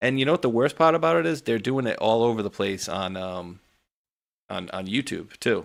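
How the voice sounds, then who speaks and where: A man with a New England accent talks at a fairly quick pace in a fairly low voice. The recording is very clean, with a silent background. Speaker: political talk show host. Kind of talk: casual chat. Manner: casual, filler-heavy.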